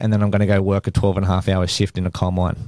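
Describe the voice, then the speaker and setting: A man's very fast speech in an Australian accent, fairly low in pitch with a dark, mellow tone and fairly even intonation, in a very clean recording with a silent background. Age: 30s. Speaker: business owner, podcast co-host. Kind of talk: casual chat.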